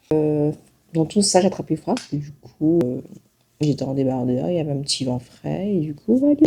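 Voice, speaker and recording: Her very deep, low voice has a dark, mellow tone, and the woman speaks at a moderate pace with ordinary pitch variation. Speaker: travel vlogger. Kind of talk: casual vlog talk. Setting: hotel room.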